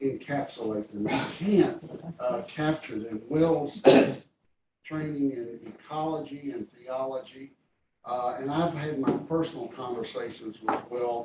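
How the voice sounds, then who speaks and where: Speaking at a very slow pace, a man has a dark, mellow tone that is somewhat breathy, with ordinary pitch variation. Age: 80s+. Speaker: retired pastor. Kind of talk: tribute speech.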